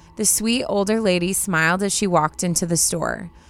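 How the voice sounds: The text is read in a natural manner. It is a natural reading voice.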